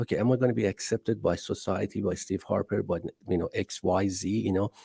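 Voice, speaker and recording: The speaker has an Iranian accent and talks at a very fast pace with fairly even intonation. The tone is dark, mellow and somewhat breathy, the sound dry and close with no echo. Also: man, fairly low pitch for a man. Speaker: entrepreneur. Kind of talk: podcast interview.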